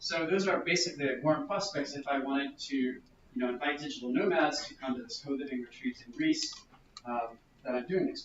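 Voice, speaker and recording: A man talks at a fairly quick pace and a fairly high pitch, with ordinary pitch variation and big swings in loudness. Noticeable background noise runs underneath. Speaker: workshop presenter on growth hacking. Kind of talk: workshop presentation. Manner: fast.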